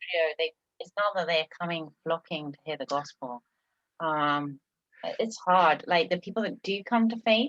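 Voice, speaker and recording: A woman with a fairly low pitch and lively intonation speaks at a moderate pace with long, frequent pauses, the sound dry and close with no echo. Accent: English. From England. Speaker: missionary church planter. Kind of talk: interview testimony.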